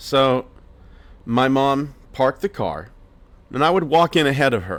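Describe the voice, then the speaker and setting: A man with a plain, everyday voice and an American accent speaks fairly slowly at a medium pitch, his intonation lively. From Pennsylvania, US. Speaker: podcast host. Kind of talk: personal storytelling.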